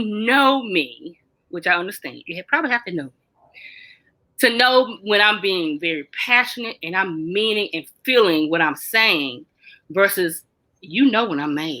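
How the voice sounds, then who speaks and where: Loud and animated, a woman speaks at a medium pitch with a bright, sharp tone, very wide pitch swings and long, frequent pauses. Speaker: mental health talk host. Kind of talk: casual chat.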